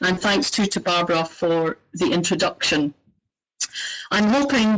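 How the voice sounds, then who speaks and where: In a Scottish accent, the speaker uses lively intonation at a fairly slow pace, keeping the loudness very even. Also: woman, medium pitch for a woman. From Scotland. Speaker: organization director. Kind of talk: webinar introduction. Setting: online webinar. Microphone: poor microphone.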